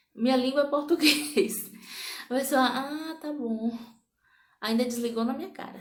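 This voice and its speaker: A woman speaks at a high pitch in an animated tone with ordinary pitch variation. Audible room echo surrounds her voice. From Brazil, interior of Bahia. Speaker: vlogger. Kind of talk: casual vlog monologue.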